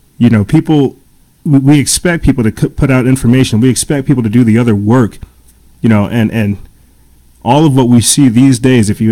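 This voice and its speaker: Medium in pitch with a dark, mellow tone, a man talks at a fairly quick pace with very even loudness and ordinary pitch variation. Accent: American. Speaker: podcast host. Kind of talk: monologue commentary. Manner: fast; halting with many repetitions.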